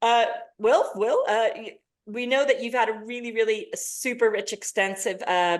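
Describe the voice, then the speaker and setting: In an American accent, a woman speaks in an animated tone at a fairly high pitch. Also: quiet background. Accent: American accent, living in Britain. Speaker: panel moderator. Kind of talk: webinar panel introduction. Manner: animated, filler-heavy.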